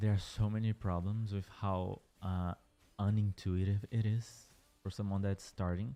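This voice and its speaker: Fairly slow and with fairly even intonation, a dark, mellow voice speaks in a Portuguese accent. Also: man, fairly low pitch for a man, very clean recording, silent background. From Brazil. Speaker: gaming streamer. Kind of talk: casual livestream chat. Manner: hesitant, with fillers and restarts.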